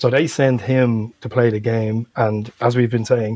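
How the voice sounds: A man with a Dublin accent speaks at a fairly low pitch in a dark, mellow tone with a slightly husky edge and little pitch movement. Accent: Dublin Irish.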